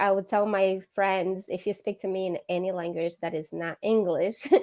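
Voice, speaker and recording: In a Portuguese accent, the speaker talks at a fairly slow pace with monotone, flat intonation on a very clean recording with a silent background. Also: woman. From Angola. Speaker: interview guest. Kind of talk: interview.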